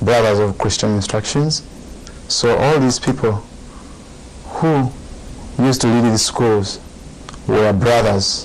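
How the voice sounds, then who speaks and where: Against noticeable background noise, a man speaks very slowly at a medium pitch. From Uganda. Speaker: Buddhist monk. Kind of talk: dharma talk.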